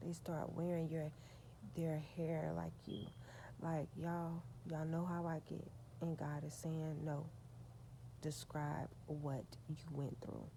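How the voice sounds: A soft-spoken woman's low voice with vocal fry and little pitch movement, at a slow pace with long, frequent pauses.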